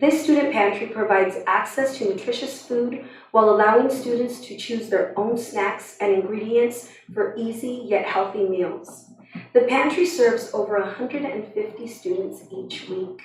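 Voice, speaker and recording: A woman with a fairly high pitch speaks at a moderate pace, her loudness swinging widely while her pitch varies in an ordinary way. Noticeable background noise and audible room echo fill the recording. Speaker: school district coordinator. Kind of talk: reading aloud. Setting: school board meeting.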